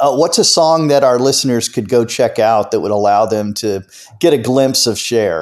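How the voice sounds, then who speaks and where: A plain, everyday voice from a man at a medium pitch with ordinary pitch variation. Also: moderate pace. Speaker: podcast host. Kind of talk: interview.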